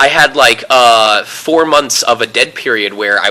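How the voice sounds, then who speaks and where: A man speaks over noticeable background noise. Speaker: voice actor. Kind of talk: interview answer. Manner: casual, talkative.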